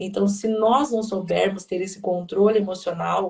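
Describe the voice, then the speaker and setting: Somewhat breathy and monotone, a woman speaks at a moderate pace with a medium pitch and flat intonation. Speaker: pastor. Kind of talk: sermon-like live talk. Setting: livestream. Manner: talkative.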